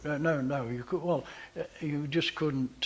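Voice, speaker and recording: A somewhat breathy male voice with ordinary pitch variation. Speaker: photographer, managing director. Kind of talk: interview answer. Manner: hesitant, conversational.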